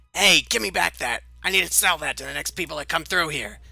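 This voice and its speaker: In a put-on character voice, the speaker sounds raspy, growling and squeaky at a fairly quick pace. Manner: angry, protesting.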